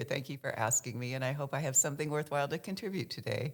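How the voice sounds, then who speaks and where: A woman's very deep, low voice at a very fast pace, with ordinary pitch variation. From US South, Kentucky. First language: American Sign Language. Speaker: sign language interpreter for theater. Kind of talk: interview, personal storytelling.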